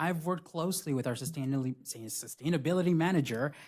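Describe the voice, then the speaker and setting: Speaking in a Spanish accent, a man with a fairly high pitch moves at a fairly quick pace with lively intonation, on a very clean recording with a silent background. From Buena Park, Southern California. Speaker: city council candidate. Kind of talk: candidate forum answers. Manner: occasional hesitations and restarts.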